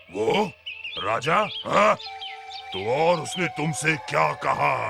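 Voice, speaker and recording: Faint music plays in the background as a man uses a put-on character voice. It is fairly high for a man and very slow. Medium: read story. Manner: domineering, boastful.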